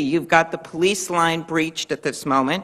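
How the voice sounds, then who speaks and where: Against a quiet background, a woman with a fairly low pitch speaks in a bright, sharp tone with fairly even intonation. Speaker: witness. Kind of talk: hearing questioning. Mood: earnest, pressing. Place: hall. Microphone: podium.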